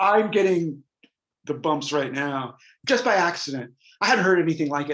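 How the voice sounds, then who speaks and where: Speaking at a fairly quick pace, a man with an American accent has an unremarkable speaking voice and ordinary pitch variation. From US Northeast (rural New Hampshire). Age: 60s. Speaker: rock guitarist. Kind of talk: interview, casual chat.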